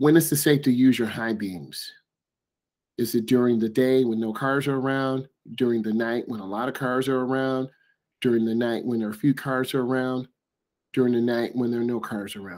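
The background is quiet as a man talks at a moderate pace. His intonation stays fairly even. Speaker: driving instructor. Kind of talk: tutorial. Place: home room. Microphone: webcam.

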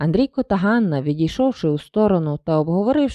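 A plain reading aloud delivered with lively intonation.

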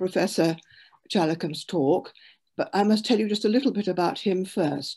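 A woman speaks in a dark, mellow tone. The background is quiet. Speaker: event host. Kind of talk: formal introduction. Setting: video call. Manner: halting. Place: home room. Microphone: video call.

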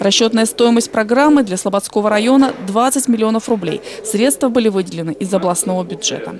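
Against noticeable background noise, a woman talks at a fairly quick pace, her fairly high pitch showing ordinary variation. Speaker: TV news reporter. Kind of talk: news report narration.

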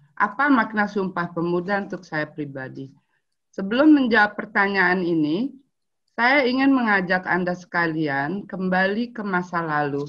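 Her voice sits at a medium pitch, with lively intonation. The woman talks at a moderate pace against a quiet background. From Indonesia, Palembang; Indonesia. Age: 50s. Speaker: anthropologist and writer; webinar speaker. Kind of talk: prepared talk read aloud. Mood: calm, reflective. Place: home room. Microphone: video call.

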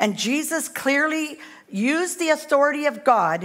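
Against a quiet background, a woman speaks with lively intonation. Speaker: guest preacher. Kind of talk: sermon. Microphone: headset.

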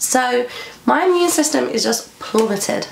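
Speaking fairly slowly in a high pitch with lively intonation, a woman is heard with audible room echo and noticeable background noise. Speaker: lifestyle vlogger. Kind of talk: casual vlog talk to camera.

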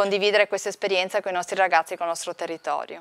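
The speaker is a woman. Her intonation holds fairly even throughout. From northeast Italy, Friuli (Pordenone); northeast Italy. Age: 40s. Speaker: veterinary researcher and lecturer. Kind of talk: interview. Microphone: lapel.

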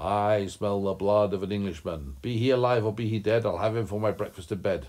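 Using a put-on character voice, a man sounds booming and fairly low in pitch. He talks at a fairly quick pace.

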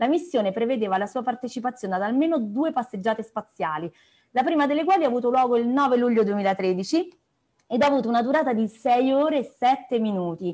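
Fairly quick, high-pitched female speech with a dark, mellow tone and lively intonation against a quiet background. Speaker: meeting host. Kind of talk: introduction of a guest. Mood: cheerful, laughing. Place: home room. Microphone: earbuds.

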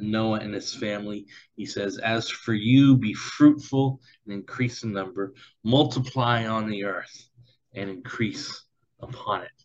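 Speaking at a fairly slow pace, the man keeps his intonation fairly even. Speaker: preacher. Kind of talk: sermon. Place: home room. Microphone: webcam.

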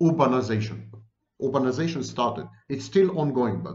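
The voice carries vocal fry. It moves at a fairly quick pace. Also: man. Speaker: commentator on psychology. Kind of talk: lecture. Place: home room. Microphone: webcam.

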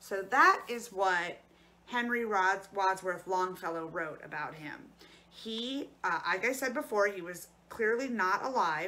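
Her tone comes across bright and sharp. The woman talks at a fairly slow pace. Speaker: librarian or storyteller. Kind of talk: educational talk and read-aloud. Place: home room. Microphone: phone near.

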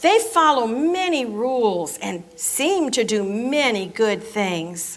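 A woman's very slow speech with very wide pitch swings. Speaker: narrator at children's program. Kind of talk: story reading aloud. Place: church.

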